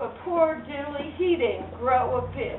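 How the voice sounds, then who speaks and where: Her intonation is lively as this woman speaks. Audible room echo and noticeable background noise surround the voice. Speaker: storyteller. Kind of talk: live storytelling to children. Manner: animated.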